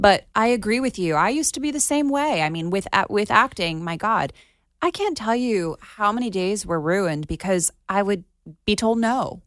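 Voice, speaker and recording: A woman with an American accent talks at a moderate pace and medium pitch, using very wide pitch swings. The recording is very clean, with a silent background. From Florida. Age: 30s. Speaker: actress. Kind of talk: interview. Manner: animated.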